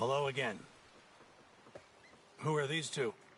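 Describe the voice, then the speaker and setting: A raspy, put-on character voice at a moderate pace, with clear background noise. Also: man, medium pitch for a man. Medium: video game. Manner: pompous, condescending.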